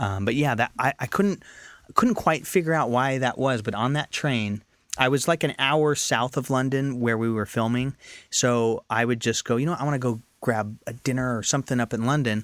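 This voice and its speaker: With an American accent, a man talks at a moderate pace and medium pitch in a plain, everyday voice, with ordinary pitch variation and a dry, close sound with no echo on a very clean recording with a silent background. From Northern California. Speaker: actor and filmmaker. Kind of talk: casual interview chat. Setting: studio.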